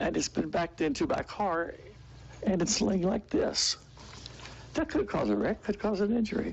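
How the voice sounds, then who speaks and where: Here a man speaks at a moderate pace. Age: 80s+. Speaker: resident giving public comment. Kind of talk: public comment at meeting. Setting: city commission meeting. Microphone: mic too far, needs to be closer.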